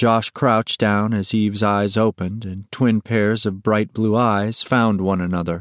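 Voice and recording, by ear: Here the text is read aloud in a natural voice. Intonation remains fairly even throughout.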